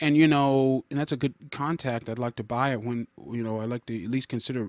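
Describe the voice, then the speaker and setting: On a very clean recording with a silent background, a man of medium pitch talks at a fairly quick pace with fairly even intonation in a dry, close sound with no echo. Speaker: gardening podcaster. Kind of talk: screen-recorded walkthrough, casual talk. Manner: halting, many fillers and restarts; thinking aloud, talks to himself.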